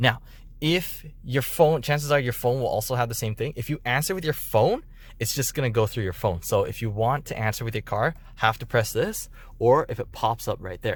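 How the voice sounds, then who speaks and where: This man's voice is somewhat breathy and medium in pitch. His intonation is lively. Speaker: car dealership delivery specialist. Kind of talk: tutorial. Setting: inside a car. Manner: fast; casual, conversational.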